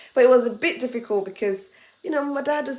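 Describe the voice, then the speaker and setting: This woman speaks in a high pitch with a Nigerian accent. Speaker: international student and vlogger. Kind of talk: casual advice vlog.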